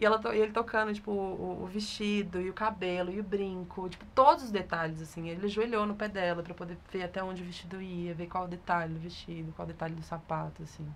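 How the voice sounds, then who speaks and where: An ordinary speaking voice from a woman, medium in pitch, fairly quick with hardly any pauses, fairly even intonation and big swings in loudness. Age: 20s. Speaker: photographer. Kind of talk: interview.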